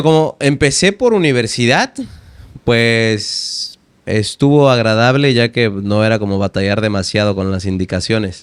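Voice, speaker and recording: In an unremarkable speaking voice, a man talks at a fairly slow pace with a medium pitch and ordinary pitch variation. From Veracruz, Mexico. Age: 20s. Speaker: language teacher and poet. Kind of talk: interview answer.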